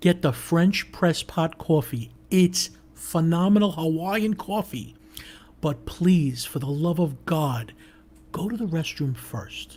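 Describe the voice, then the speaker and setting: The speaker goes at a very slow pace in a slight New York accent. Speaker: co-host of a live online talk show. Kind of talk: casual chat. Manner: animated.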